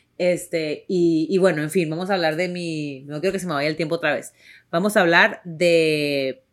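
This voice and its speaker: With a strong northern Mexican accent, a woman talks in an animated tone at a moderate pace and a fairly low pitch, on a very clean recording with a silent background. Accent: strong northern Mexican ranchero. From Tijuana, Mexico. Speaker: podcast host and actress. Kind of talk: casual chat.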